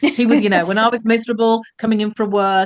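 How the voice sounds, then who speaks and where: A woman speaks with an English accent against a quiet background. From England. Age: 60s. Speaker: former telecoms executive, career coach. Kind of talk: podcast interview.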